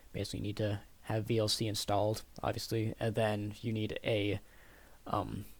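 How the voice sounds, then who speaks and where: A man talks in a somewhat breathy voice. His intonation is monotone and flat. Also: moderate pace. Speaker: computer science student. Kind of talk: project presentation. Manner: halting, many fillers.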